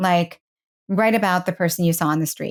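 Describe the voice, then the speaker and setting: In a very clean recording with a silent background, a woman with an American accent and a plain, everyday voice speaks at medium pitch and a fairly quick pace with fairly even intonation. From New York City. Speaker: singer-songwriter and voiceover artist. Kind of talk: interview answer. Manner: casual, conversational.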